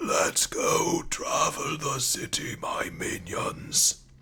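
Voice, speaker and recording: A man in a raspy put-on character voice at a very slow pace, with clear background noise. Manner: strained, villainous.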